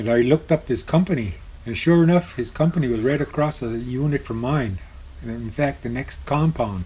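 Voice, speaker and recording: A man's somewhat breathy, dark and mellow voice at a medium pitch, fairly quick in pace, with lively intonation. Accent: American. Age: 70s. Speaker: war veteran. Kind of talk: oral history interview. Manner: halting.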